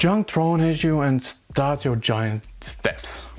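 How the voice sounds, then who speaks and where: Very slow speech in a strong non-native accent, with music in the background. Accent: strong, harsh non-native English. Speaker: gaming video essayist. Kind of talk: scripted video essay narration.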